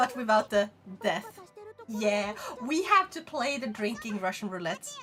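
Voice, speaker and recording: Over music in the background, a woman with a Swedish accent and a fairly high voice speaks at a fairly slow pace with lively intonation. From Sweden. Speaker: VTuber streamer. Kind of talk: casual chat.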